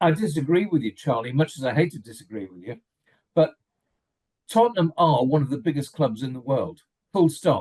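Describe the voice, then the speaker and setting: A man with an English accent at a fairly high pitch, somewhat breathy, fairly quick, with lively intonation, big swings in loudness and long, frequent pauses. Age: 70s. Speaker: football fan pundit. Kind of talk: casual chat. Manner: animated.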